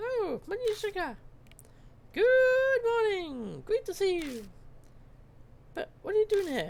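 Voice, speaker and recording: A squeaky put-on character voice at an extremely high pitch goes along at a fairly slow pace with long, frequent pauses. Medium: solo performance.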